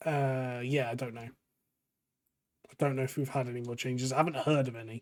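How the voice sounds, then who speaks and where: With an English accent, a man speaks at a fairly quick pace and medium pitch. His intonation is monotone and flat, while his loudness swings a lot. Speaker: gaming YouTuber. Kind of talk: casual gameplay commentary.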